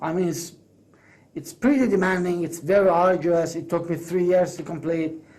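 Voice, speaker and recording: A man talks at a moderate pace. He has a Persian accent. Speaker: English teacher and course creator. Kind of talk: business pitch monologue. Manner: halting, with fillers and self-corrections.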